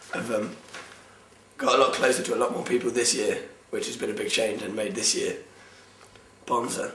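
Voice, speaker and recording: Southern English accent, with audible room echo and noticeable background noise. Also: man. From southern England. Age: 20s. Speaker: university student. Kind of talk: casual personal monologue. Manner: hesitant, many ums.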